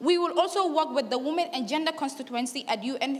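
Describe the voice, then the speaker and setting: Noticeable background noise runs under this woman's voice. She talks at a fairly quick pace with ordinary pitch variation. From Gambia. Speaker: youth climate activist. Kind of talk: conference speech. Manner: halting, many fillers; fast.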